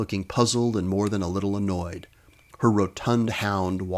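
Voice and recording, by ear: Reading aloud is done here in a natural voice.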